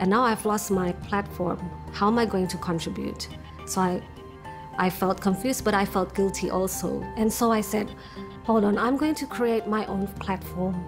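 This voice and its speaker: A woman talks at a moderate pace. Clear music can be heard behind her. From Sydney, Australia (until 14), Indonesian family. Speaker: university lecturer, English teacher. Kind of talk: interview answer. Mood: reflective, earnest. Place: home room. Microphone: lapel.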